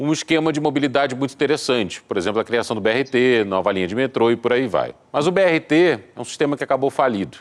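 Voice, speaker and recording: Talking at a very fast pace with hardly any pauses, a man uses lively intonation at a medium pitch. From Rio de Janeiro, Brazil. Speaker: radio host. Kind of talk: interview.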